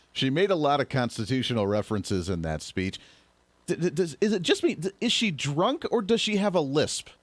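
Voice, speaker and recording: A man talks fairly quickly. The pitch of his voice swings very widely. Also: fairly high pitch for a man. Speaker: political podcast host. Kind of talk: political commentary. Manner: fast; stutters often.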